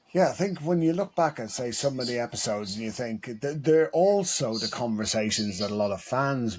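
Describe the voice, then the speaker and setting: A man with an Irish accent, at a moderate pace with lively intonation. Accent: Irish brogue. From Ireland. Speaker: football coach and podcast co-host. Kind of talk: casual chat.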